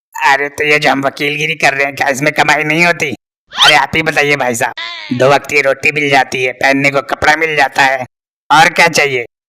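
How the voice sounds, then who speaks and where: A man's cartoonish character voice, fairly high-pitched, monotone and flat, at a fairly quick pace. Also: dry, close sound with no echo. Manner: rustic, sarcastic, prying.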